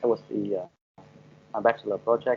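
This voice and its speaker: Here a man speaks at medium pitch. His pace is moderate. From Vietnam. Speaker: no-code founder. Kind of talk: interview. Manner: halting, many fillers.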